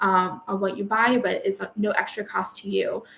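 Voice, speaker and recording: The woman's voice has a medium pitch. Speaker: book podcaster. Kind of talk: solo book review. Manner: casual, with many filler ums.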